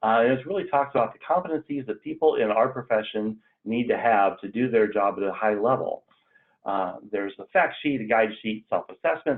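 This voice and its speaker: He talks fairly quickly at a medium pitch. His voice is a plain, everyday voice with ordinary pitch variation. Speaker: extension educator leading staff onboarding. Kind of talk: online training meeting. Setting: video call.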